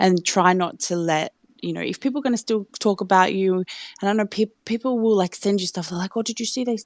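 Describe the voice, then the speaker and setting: A woman with an Australian accent talks at a very fast pace. Her pitch variation is ordinary and the sound is dry and close, with no echo. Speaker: listener joining to speak. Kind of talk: casual chat. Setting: live audio chat room.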